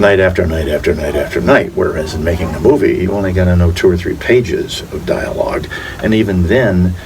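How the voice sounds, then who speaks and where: Noticeable background noise and audible room echo surround this recording. A man with an American accent speaks at a fairly quick pace. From Florida Keys, US. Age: 70s. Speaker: actor. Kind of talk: casual interview.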